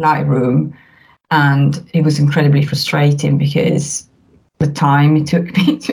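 The voice is somewhat breathy, with an Italian accent. It moves at a fairly slow pace with fairly even intonation. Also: woman. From northern Italy, near the Alps. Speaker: family documentary photographer. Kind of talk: casual interview chat. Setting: remote call.

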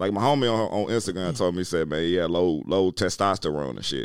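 Very deep and low in pitch, a man speaks with vocal fry and very wide pitch swings. His pace is very fast. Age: 40s. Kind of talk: casual chat.

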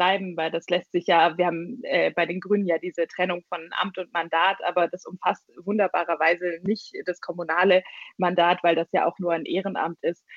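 Speaking at a moderate pace, a woman uses a fairly low pitch and a flat, monotone delivery. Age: 20s. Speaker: party leader. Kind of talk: interview. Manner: hesitant, many fillers.

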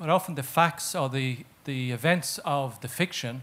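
In an Irish accent, a man speaks at a moderate pace in a fairly high pitch with ordinary pitch variation. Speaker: audience member. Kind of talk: audience question. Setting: stage with audience.

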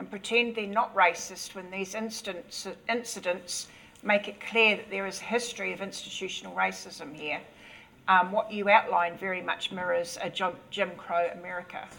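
Against noticeable background noise, a woman speaks at a medium pitch with fairly even intonation. Her loudness swings widely. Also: moderate pace. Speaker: moderator. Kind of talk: reading questions.

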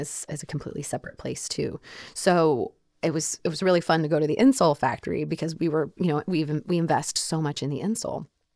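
A woman with an American accent talks at a very fast pace, her pitch very deep and low with ordinary variation. The sound is dry and close, with no echo. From Oklahoma. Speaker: foot and ankle surgeon and shoe designer. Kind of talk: interview conversation. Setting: studio.

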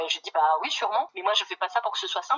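Her pitch medium with ordinary variation, a woman races along at a very fast pace. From northern France, Pas-de-Calais. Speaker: ecologist activist and municipal candidate. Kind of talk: phone interview. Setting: phone call.

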